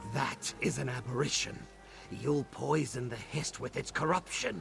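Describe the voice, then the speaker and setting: With clear music in the background, a man performs a put-on character voice at a medium pitch and moderate pace. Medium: video game. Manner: cold, blunt.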